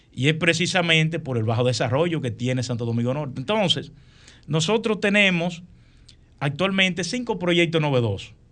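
A man speaks in a plain, everyday voice at a fairly high pitch, with lively intonation and a moderate pace. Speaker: engineer, professor and congressional candidate. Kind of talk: radio interview.

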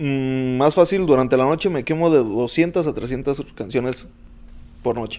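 Speaking at a fairly slow pace, a man has a dark, mellow tone at medium pitch with ordinary pitch variation. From Mexico, Uruapan, Michoacán. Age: 20s. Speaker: club DJ. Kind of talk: casual chat.

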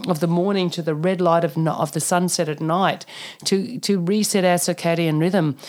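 A woman with an Australian accent speaks in a fairly low pitch. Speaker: naturopath and functional medicine practitioner. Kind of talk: interview. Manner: animated.

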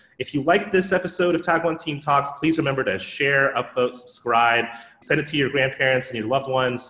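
A man's fairly high-pitched voice at a moderate pace, ordinary pitch variation and noticeable background noise. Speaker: podcast host and moderator. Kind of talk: casual interview chat.

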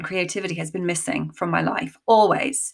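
A woman talks at a moderate pace with vocal fry. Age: 40s. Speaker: creative coach and actor. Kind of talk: casual interview chat.

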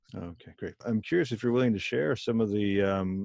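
With fairly even intonation, a man speaks in an unremarkable speaking voice at a fairly low pitch. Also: dry, close sound with no echo. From US (immigrant from Germany/India family). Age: 40s. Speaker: podcast host. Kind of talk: interview conversation.

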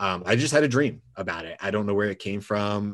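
A man talks at a fairly quick pace with an American accent. His is a plain, everyday voice, fairly low in pitch. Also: very clean recording, silent background. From US South, Georgia. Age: 40s. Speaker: former firefighter and gym owner. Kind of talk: interview conversation.

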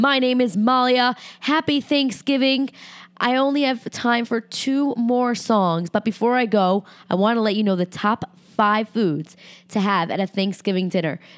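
With a fairly high pitch and ordinary pitch variation, a woman speaks at a moderate pace in an unremarkable speaking voice on a very clean recording with a silent background.

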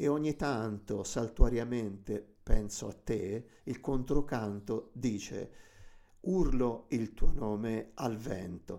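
A very slow, dark, mellow voice in a Tuscan accent, with ordinary pitch variation, on a very clean recording with a silent background. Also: man. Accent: Tuscan, drawn-out C and G sounds. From Tuscany. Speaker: radio host. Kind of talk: music show presenting. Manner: hesitant with fillers.

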